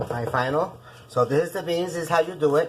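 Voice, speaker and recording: A woman speaks at a fairly quick pace in a Puerto Rican accent. Noticeable background noise runs behind her. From Puerto Rico. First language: Spanish. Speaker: cooking show host. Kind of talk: cooking tutorial. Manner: casual, chatty.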